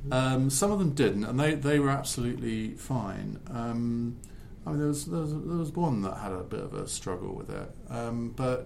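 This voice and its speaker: Audible room echo surrounds a man speaking with a southern English accent. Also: medium pitch for a man, lively intonation, moderate pace. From Essex, England. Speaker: podcast host. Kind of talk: interview.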